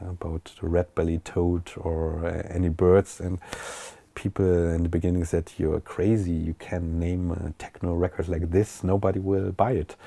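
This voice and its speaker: In a German accent, a man speaks at a moderate pace with a very deep, low pitch, a dark, mellow tone and monotone, flat intonation. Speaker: techno DJ and producer. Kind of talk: interview. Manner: halting.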